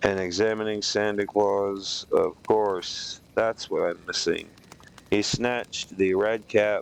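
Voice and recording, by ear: Natural-voiced reading aloud, intonation fairly even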